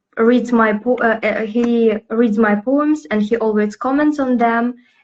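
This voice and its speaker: A woman with a fairly high pitch speaks in a Russian accent. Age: 20s. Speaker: poet and lyricist. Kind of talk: interview. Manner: halting, many fillers.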